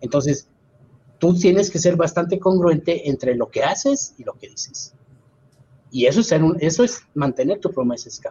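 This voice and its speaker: A man speaks at a moderate pace in a high pitch with lively intonation. His loudness swings widely. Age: 50s. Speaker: scout leader. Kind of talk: casual chat.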